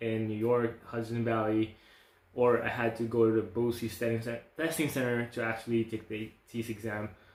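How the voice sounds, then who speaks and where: The speaker has a non-native accent and talks at a fairly quick pace. The intonation is monotone and flat. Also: man. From outside the US. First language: not English. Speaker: nursing school applicant. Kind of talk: casual vlog talk.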